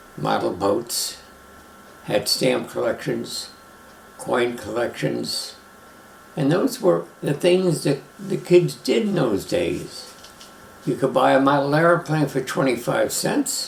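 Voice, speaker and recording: A man with an American accent at a very slow pace, with long, frequent pauses and noticeable background noise. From Brooklyn, New York. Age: 90s. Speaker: retired airline pilot. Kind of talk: life story interview.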